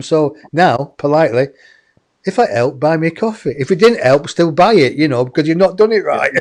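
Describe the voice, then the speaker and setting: A high-pitched man with an English accent and very wide pitch swings. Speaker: online show host. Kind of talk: casual chat.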